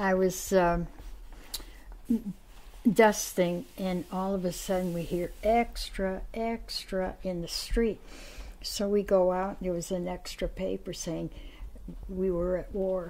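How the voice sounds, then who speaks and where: A woman speaks at a very slow pace. Her speech is broken by long, frequent pauses. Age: 80s+. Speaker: interviewee, first-time blood donor. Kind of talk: interview answer. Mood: warm, animated reminiscing. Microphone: lapel.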